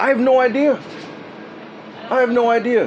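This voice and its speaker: Noticeable background noise accompanies a man whose pitch is extremely high. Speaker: person filming a dispute with officials. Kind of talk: heated argument. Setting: outdoors. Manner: fast; agitated.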